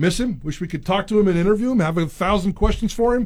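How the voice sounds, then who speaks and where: This man's intonation rises and falls in a lively way. He gets through his words at a very fast pace. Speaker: radio co-host. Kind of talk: radio sports talk show banter. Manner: jokey, playful, energetic radio patter.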